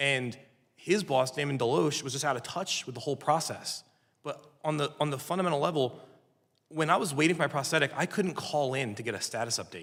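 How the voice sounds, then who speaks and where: In a normal speaking voice, a man talks at a fairly quick pace and a fairly high pitch with ordinary pitch variation. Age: 60s. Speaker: veteran amputee witness. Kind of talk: hearing testimony. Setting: congressional hearing room.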